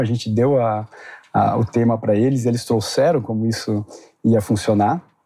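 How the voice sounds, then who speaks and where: At a moderate pace, a man talks with a medium pitch and a dark, mellow tone. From Brazil, Curitiba. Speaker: tech company executive. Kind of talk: interview. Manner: halting, many fillers.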